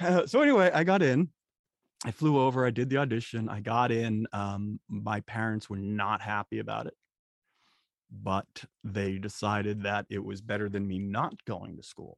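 Against a quiet background, a man with an American accent talks in a normal speaking voice at a fairly low pitch and moderate pace, the sound dry and close with no echo. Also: ordinary pitch variation. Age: 40s. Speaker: software developer and trainer. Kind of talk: interview.

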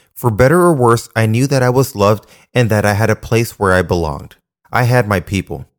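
A man talks at a moderate pace with lively intonation and a medium pitch. The recording is very clean and dry, close with no echo and a silent background. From Panama, raised in Florida and Washington state from age six. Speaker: podcast host, nurse practitioner. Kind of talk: personal testimony, scripted monologue.

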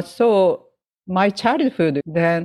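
In a dry, close recording with no echo, a woman with a Japanese accent speaks with lively intonation. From Japan, Hokkaido, Sapporo. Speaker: jazz pianist and educator. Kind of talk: interview. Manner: halting.

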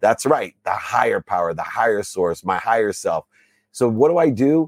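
An ordinary speaking voice with an American accent moves at a fairly quick pace. The sound is dry and close, with no echo. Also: man. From US Midwest, Akron, Ohio. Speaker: business coach and author. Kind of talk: interview conversation. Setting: podcast recording.

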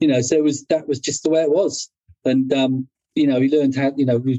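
In an English accent, a man speaks at a very fast pace with a medium pitch and a dark, mellow tone, the sound dry and close with no echo. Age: 60s. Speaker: motorcycle clothing company owner. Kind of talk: casual chat.

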